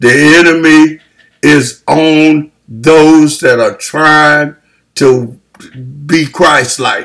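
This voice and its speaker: A man's voice over a quiet background. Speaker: preacher. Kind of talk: sermon. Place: home room. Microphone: webcam.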